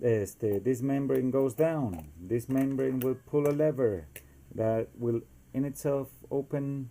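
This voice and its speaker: At a very slow pace, a man with a Costa Rican accent speaks at medium pitch. His tone is dark and mellow. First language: Spanish. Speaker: DIY inventor. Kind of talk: tutorial. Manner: hesitant, many fillers.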